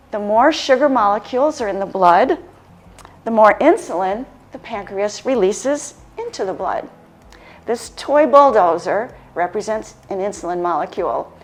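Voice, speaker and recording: There is noticeable background noise as a woman speaks at a moderate pace. Her pitch is fairly high and her intonation lively. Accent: American. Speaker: lifestyle medicine practitioner. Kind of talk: health education presentation.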